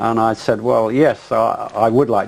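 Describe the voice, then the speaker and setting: This man speaks with an English accent. His pitch is fairly low and his pace fairly slow. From England. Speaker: pilot. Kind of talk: interview testimony. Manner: halting, many fillers.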